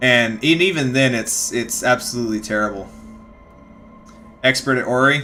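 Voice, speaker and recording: Slight Texas accent at a moderate pace, with noticeable background noise. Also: man. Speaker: streamer reading books aloud. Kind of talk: casual chat with live chat during reading break. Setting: live stream.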